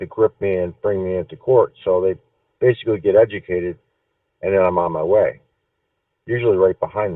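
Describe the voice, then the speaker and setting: The man's voice is fairly low in pitch. He speaks at a moderate pace in a flat monotone. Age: 60s. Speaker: caller. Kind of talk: call-in question. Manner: halting, many repeated words.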